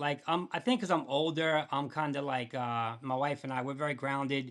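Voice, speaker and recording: This man has an unremarkable speaking voice with a fairly high pitch and a moderate pace. The recording is very clean, with a silent background. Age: 60s. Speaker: poker player. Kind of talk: casual chat. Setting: podcast interview.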